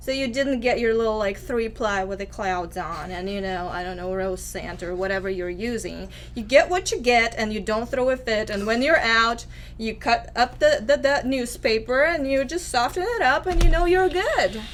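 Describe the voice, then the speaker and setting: A woman with a Russian accent speaks with hardly any pauses, her fairly high pitch moving in very wide swings. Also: moderate pace. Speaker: activist. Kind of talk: interview testimony.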